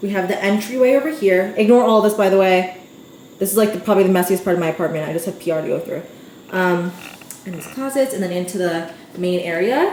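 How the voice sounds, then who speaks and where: A woman with an American accent at medium pitch, ordinary pitch variation and a very fast pace, with audible room echo and noticeable background noise. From Staten Island, New York. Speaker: lifestyle vlogger. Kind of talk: casual vlog, apartment tour. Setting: at home. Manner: chatty, informal.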